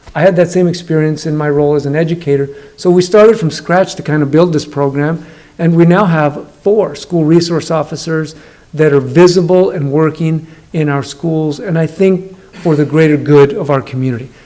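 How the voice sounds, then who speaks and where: A man talks at a moderate pace and fairly high pitch, with fairly even intonation. Noticeable background noise and audible room echo fill the recording. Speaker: school district superintendent. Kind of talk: presentation at council meeting. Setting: council meeting room. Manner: loud.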